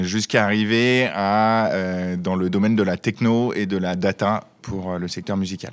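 In a monotone, flat intonation, a man speaks with a fairly low pitch and hardly any pauses. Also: fairly slow pace. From Savoie, France. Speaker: brewery founder.

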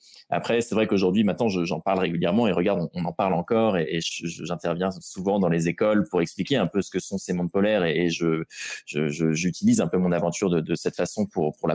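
Delivered at a fairly quick pace with fairly even intonation, the speech has a dry, close sound with no echo. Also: man. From Normandy, France (Rouen). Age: 20s. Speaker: adventurer and explorer. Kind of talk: interview. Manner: hesitant, frequent repetitions.

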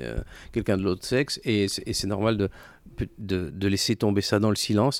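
Recorded very cleanly with a silent background, a man with a plain, everyday voice talks at a moderate pace. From France, Clermont-Ferrand. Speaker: entrepreneur, consultancy co-founder. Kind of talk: interview.

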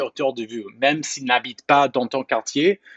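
In a normal speaking voice, the talker moves along at a moderate pace. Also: man. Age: 20s. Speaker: media founder. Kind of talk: interview. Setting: outdoors in a park.

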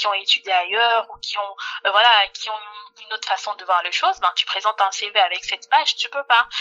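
A normal speaking voice proceeds at a moderate pace. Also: woman. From Democratic Republic of the Congo. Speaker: HR entrepreneur and payroll officer. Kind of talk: interview.

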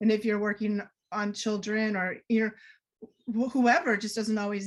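Speaking in an American accent, a woman has a fairly high pitch. Her voice is somewhat breathy, at a moderate pace. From US Northeast, Boston area. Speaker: energy healer and author. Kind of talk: podcast interview.

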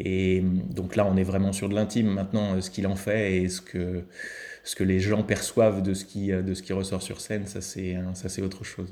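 A man with a very deep, low voice and a dark, mellow tone speaks at a moderate pace in a monotone, flat intonation. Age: 40s. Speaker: improv actor. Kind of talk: interview. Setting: remote call. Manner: halting.

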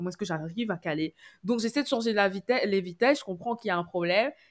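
A woman speaks at a very fast pace. The sound is dry and close, with no echo. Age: 20s. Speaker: communications graduate. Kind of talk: casual chat. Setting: remote call.

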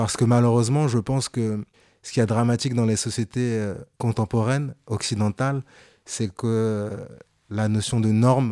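A man's dark, mellow voice at a medium pitch, with fairly even intonation and a moderate pace, in a dry, close sound with no echo on a very clean recording with a silent background. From France, Paris suburbs housing estate. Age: 30s. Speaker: fashion journalist and content creator. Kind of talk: interview.

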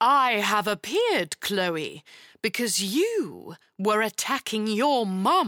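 In a put-on character voice, a woman speaks slowly at a medium pitch with big pitch swings and a bright, sharp tone, in a dry, close sound with no echo.

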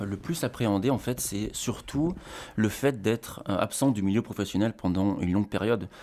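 A man speaks in a fairly low pitch with a dark, mellow tone and ordinary pitch variation. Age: 30s. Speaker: father on parental leave. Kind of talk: casual interview chat.

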